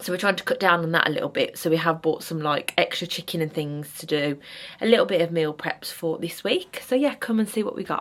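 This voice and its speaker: Speaking at a very fast pace, a woman talks with an English accent. Noticeable background noise is present. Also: fairly low pitch for a woman, ordinary pitch variation. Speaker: vlogger. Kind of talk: casual vlog talk. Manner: chatty.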